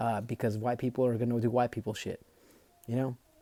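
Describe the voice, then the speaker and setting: At medium pitch, a man with a Spanish accent speaks in a dark, mellow tone, recorded dry and close with no echo. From Mexico. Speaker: book reader and commentator. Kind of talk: reading aloud with commentary. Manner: casual, hesitant with repetitions.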